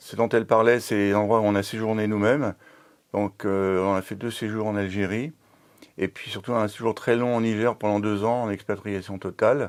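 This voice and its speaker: Monotone and flat, a man speaks at a moderate pace and fairly low pitch on a very clean recording with a silent background. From France, Le Mans (Sarthe). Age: 70s. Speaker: retired engineer, association volunteer. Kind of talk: interview testimony.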